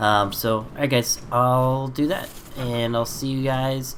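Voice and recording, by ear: A man at a medium pitch and fairly slow pace, with a fairly bright tone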